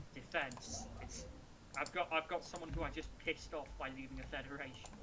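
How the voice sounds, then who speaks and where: Noticeable background noise fills the recording. The speaker moves at a fairly quick pace. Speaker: gamer in multiplayer match. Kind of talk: casual chat while gaming. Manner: halting, struggling for words.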